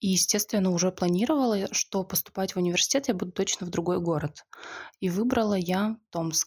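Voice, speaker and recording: A woman speaks in a normal speaking voice at a medium pitch, with ordinary pitch variation. The recording is very clean, with a silent background. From Siberia (Zabaykalsky Krai village). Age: 20s. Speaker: podcast guest. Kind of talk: casual chat.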